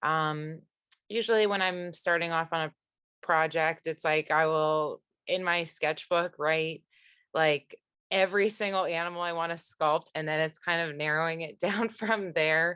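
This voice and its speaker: Recorded dry and close with no echo over a quiet background, a woman speaks fairly slowly at a fairly low pitch, her tone bright and sharp and her intonation fairly even. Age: 30s. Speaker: sculptor. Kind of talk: casual conversation.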